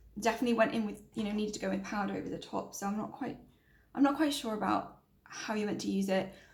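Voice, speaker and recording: In a British accent, a woman talks at a very fast pace, with audible room echo. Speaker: beauty vlogger. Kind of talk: makeup review vlog. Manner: quiet, talking softly.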